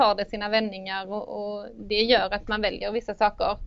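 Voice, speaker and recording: A woman with a fairly high pitch speaks in a monotone with flat intonation. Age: 30s. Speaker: engineering student. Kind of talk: interview. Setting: studio. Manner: halting.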